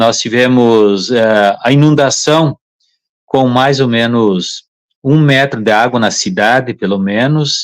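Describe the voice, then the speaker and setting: At a very slow pace, a man talks at medium pitch with very even loudness and ordinary pitch variation. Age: 60s. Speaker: public water and drainage official. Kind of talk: live-stream interview. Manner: halting, with many fillers.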